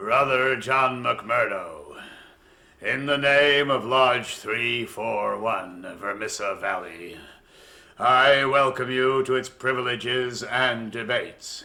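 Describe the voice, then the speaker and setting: Putting on a character voice, a man speaks at a very slow pace in a menacing tone. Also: medium pitch for a man. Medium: audio drama. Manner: commanding, menacing.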